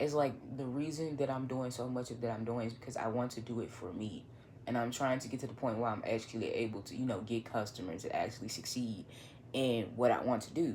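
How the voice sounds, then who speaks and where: The speaker has a northern Louisiana accent and talks at a fairly quick pace. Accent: northern Louisiana Southern. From northern Louisiana (Monroe). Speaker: vlogger, writer and photographer. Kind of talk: casual monologue vlog. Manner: halting, many fillers.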